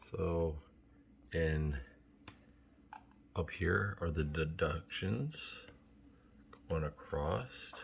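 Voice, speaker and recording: A soft-spoken man talks at a very slow pace with long, frequent pauses. His very deep, low voice has vocal fry and ordinary pitch variation. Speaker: vlogger researching trucking lease purchase programs. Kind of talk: casual vlog tutorial. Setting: at home.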